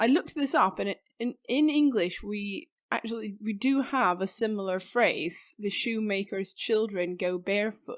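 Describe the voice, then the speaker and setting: A woman with a Swedish accent speaks at a moderate pace in a fairly high pitch with lively intonation. The recording is very clean, with a silent background. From southern Sweden, Skåne. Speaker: podcast co-host. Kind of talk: casual chat.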